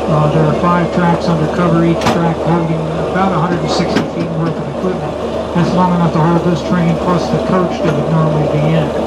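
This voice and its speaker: The speech moves at a fairly quick pace over loud background noise. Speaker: tourist railroad tour guide. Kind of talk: guided tour commentary. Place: train.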